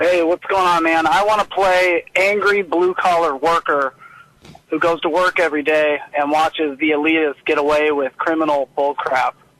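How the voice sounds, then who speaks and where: This man's voice sits fairly high for a man and moves at a moderate pace with fairly even intonation and very even loudness, sounding dry and close with no echo against noticeable background noise. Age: 30s. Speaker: refinery worker, caller. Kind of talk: call-in talk radio.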